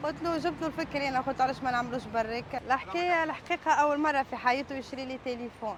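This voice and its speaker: A fairly quick, high-pitched woman's voice with hardly any pauses. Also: ordinary pitch variation. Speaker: street food vendor. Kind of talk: interview.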